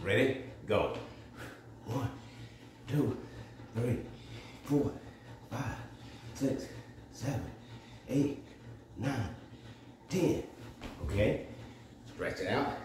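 Over light background noise and audible room echo, a man speaks at a very slow pace with ordinary pitch variation. His long pauses come often. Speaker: fitness demonstrator. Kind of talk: workout counting. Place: gym. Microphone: phone near.

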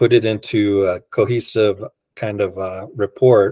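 A man speaks at a fairly low pitch in a dark, mellow tone with monotone, flat intonation. The background is quiet and the sound is dry, with no echo. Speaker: advisory board member. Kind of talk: meeting discussion. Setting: video call. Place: home room.

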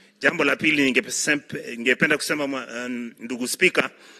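A man with a bright, sharp tone talks at a moderate pace. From Kenya. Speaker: senator. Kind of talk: parliamentary speech. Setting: senate chamber. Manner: halting, with repeated words. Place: hall. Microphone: podium.

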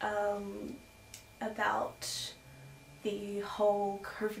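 A soft-spoken woman talks at a fairly high pitch with an Australian accent. Light background noise and audible room echo surround her. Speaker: children's book author and illustrator; storyteller. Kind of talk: reading aloud; reading a rhyming children's story aloud. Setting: at home. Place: home room. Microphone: camera far.

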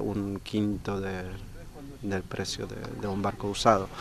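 A man's fairly slow speech in a Polish accent. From Poland. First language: Polish (speaking Spanish). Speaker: sailing club vice president and boatbuilder. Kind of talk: interview at an inauguration event.

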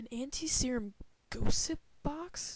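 A put-on character voice at a slow pace, with ordinary pitch variation. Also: woman, high pitch for a woman.

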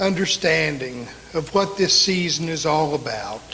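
There is light background noise as a man speaks at a very slow pace. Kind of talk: prayer. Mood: reverent, grateful. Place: church. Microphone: podium.

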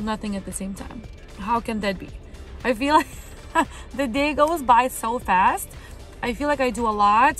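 The speaker talks at a moderate pace, with faint music behind and a dry, echo-free sound. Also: woman. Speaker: vlogger. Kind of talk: casual vlog chat. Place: car. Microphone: phone near.

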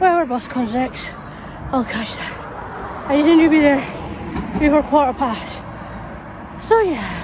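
There is noticeable background noise, but the sound is dry with no echo. A woman talks at a fairly slow pace with a high pitch and lively intonation. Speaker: vlogger. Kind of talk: casual vlog chat. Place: street. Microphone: phone near.

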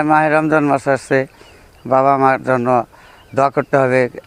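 The speaker is a man. Noticeable noise sits in the background throughout. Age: 50s. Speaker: interviewee on filial duty. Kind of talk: informal religious advice.

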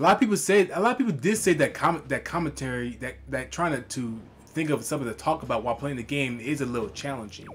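This man's pitch is fairly high. He talks at a fairly quick pace over music in the background. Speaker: gaming commentator. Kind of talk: let's play commentary. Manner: halting, repeats words.

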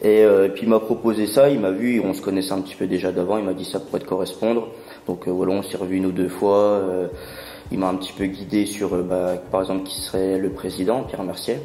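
A man with very deep, low pitch talks at a fairly quick pace with fairly even intonation, amid audible room echo and noticeable background noise. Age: 20s. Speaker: sports club business developer. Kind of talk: interview.

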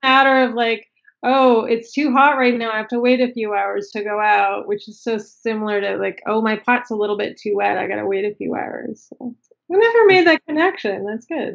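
A woman at a fairly high pitch, moderate pace and ordinary pitch variation, against a quiet background. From Canada, Toronto. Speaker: ceramic artist; podcast guest. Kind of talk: casual chat. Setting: video call. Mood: relaxed, friendly. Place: home room. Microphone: video call.

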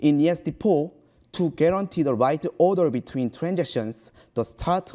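A man with a Korean accent speaks in a dark, mellow tone with lively intonation. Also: quiet background. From South Korea. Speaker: computer science researcher; presenter. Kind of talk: conference talk. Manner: halting. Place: hall.

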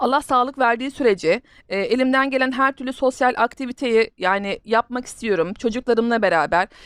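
A woman talks at a moderate pace in a high pitch with ordinary pitch variation and hardly any pauses. The sound is dry and close with no echo, over a quiet background. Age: 30s. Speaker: gaming YouTuber. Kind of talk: gameplay commentary. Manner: halting.

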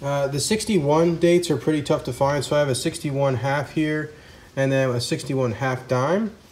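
Ordinary pitch variation from a male speaker. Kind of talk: casual show-and-tell commentary. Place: home room. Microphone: phone near.

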